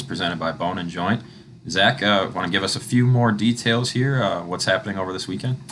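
Noticeable background noise sits under fairly quick speech with ordinary pitch variation. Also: man. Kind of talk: promotional arena-announcer pitch, inviting fans to come buy team merchandise. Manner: upbeat, animated, salesy, with a cheerful come-on-down tone.

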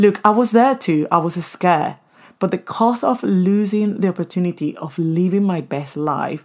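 On a very clean recording with a silent background, a woman with a Spanish accent speaks at a moderate pace in a fairly low pitch, with ordinary pitch variation and an animated, warm tone. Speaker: podcast host. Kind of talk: solo podcast monologue with advice and personal stories. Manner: animated, warm, motivational.

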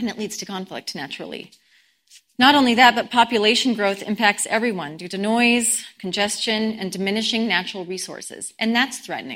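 A woman with a fairly high pitch, a bright, sharp tone and an American accent speaks at a fairly quick pace, with ordinary pitch variation and big swings in loudness. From Colorado, US. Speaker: guest speaker at a spiritual community service. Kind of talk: sermon.

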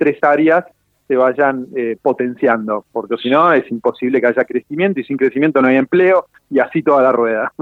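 This is a man with a normal speaking voice. He talks at a moderate pace. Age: 40s. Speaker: entrepreneur and financial author. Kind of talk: radio interview. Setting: phone call.

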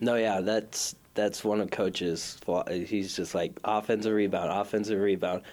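Fairly even intonation with very even loudness. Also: man, fairly low pitch for a man, moderate pace, hardly any pauses, very clean recording, silent background. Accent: Minnesota. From Minnesota, South Minneapolis. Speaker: college basketball player. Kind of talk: interview. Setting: studio.

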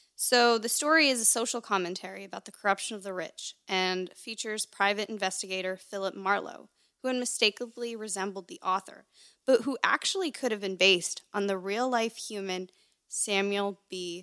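A woman's bright, sharp tone at a medium pitch, in a very clean recording with a silent background and a dry, close sound with no echo. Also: ordinary pitch variation, moderate pace, big swings in loudness. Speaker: podcast host. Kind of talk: casual chat. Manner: animated.

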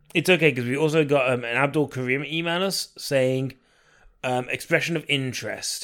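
In a very clean recording with a silent background, a man with a plain, everyday voice speaks at a moderate pace in a fairly high pitch with fairly even intonation. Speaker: podcast host. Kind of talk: casual comedic chat.

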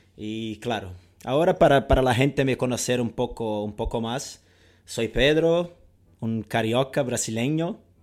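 With a Portuguese accent, a man speaks at a fairly slow pace, using a medium pitch and ordinary pitch variation. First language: Portuguese (speaking Spanish). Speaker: football coach and podcast co-host. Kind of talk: casual chat. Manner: halting, many repetitions.

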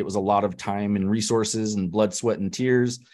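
This is a normal speaking voice with a General American accent and fairly even intonation. It moves at a fairly quick pace against a quiet background. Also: man. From US West, Denver, Colorado. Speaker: e-commerce entrepreneur. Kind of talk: interview.

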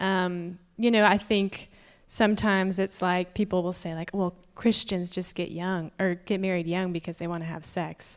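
In a very clean recording with a silent background, a woman with a Southern US accent talks at a medium pitch in a monotone, flat intonation. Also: moderate pace. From Georgia (US). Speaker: panel guest, married woman. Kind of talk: panel discussion. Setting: stage with audience.

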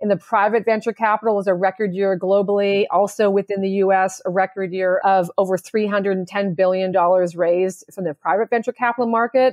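A woman with an ordinary speaking voice, medium in pitch, at a fairly quick pace with fairly even intonation and hardly any pauses. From Canada. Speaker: stock exchange executive. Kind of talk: interview.

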